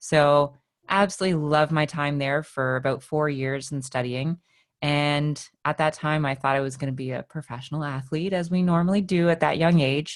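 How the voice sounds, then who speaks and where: A woman with a Canadian accent and a very deep, low pitch, at a moderate pace with fairly even intonation. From Canada. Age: 30s. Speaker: fitness coach. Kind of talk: interview.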